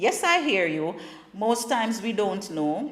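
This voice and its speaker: A woman with a Jamaican accent speaks at a fairly slow pace, her pitch swinging very widely. Noticeable background noise and audible room echo surround her. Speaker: talk show host. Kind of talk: casual talk show monologue. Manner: conversational, repetitive stammering.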